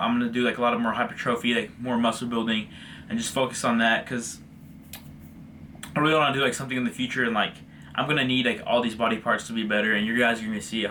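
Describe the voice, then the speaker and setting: The speech runs at a very fast pace. Its intonation stays fairly even. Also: man. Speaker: fitness vlogger. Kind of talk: casual vlog commentary on training videos. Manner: stuttering at times.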